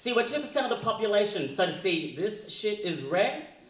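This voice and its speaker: Speaking at a moderate pace, a man with a high pitch makes very wide pitch swings, with audible room echo and light background noise. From Australia. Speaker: slam poet. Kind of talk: live slam poetry performance. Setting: live stage, audience. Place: stage.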